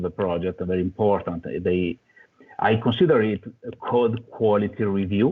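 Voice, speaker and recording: A man with an Italian accent speaks at a fairly low pitch. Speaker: software developer. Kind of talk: conference talk. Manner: halting.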